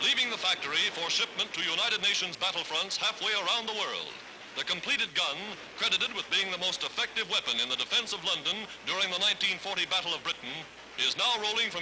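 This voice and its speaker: A man talks at a very fast pace in a high voice, with noticeable background noise. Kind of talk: wartime newsreel narration.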